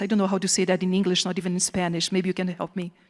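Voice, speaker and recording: A woman speaks with a Portuguese accent. Her pitch is medium. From southern Brazil. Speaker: professor. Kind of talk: keynote lecture. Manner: animated.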